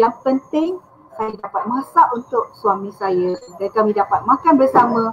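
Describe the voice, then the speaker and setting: A woman with a fairly high pitch speaks with lively intonation in an unremarkable speaking voice. Light background noise is audible. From Kelantan, Malaysia; Malaysia. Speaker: ghostwriter; guest ghostwriter. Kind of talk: live online interview. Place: home room. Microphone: headset.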